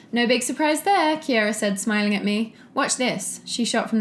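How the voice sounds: The voice reads in a natural way.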